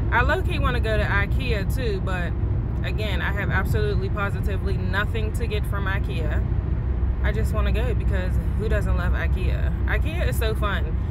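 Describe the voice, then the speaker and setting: A woman at a moderate pace, dry sound with no echo, loud background noise. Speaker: vlogger. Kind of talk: casual vlog chat. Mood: relaxed, playful. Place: car. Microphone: phone near.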